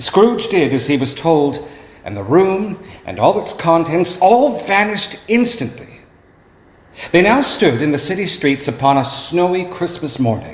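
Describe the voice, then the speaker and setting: Noticeable background noise sits under a man's high-pitched voice, which moves in very wide pitch swings. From Canada. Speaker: actor. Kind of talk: dramatic story reading. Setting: live venue.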